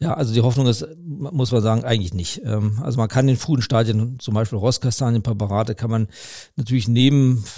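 A man's somewhat breathy, dark and mellow voice at medium pitch, with ordinary pitch variation and a fairly quick pace. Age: 50s. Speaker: vascular surgeon, chief physician. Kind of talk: expert interview. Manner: hesitant with many fillers.

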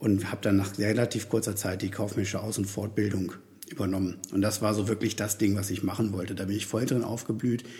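A man speaks at a fairly quick pace in a fairly low, somewhat breathy voice. His tone is dark and mellow, and his intonation stays fairly even. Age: 40s. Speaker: podcast host and career coach. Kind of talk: solo podcast monologue. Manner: hesitant, with many fillers.

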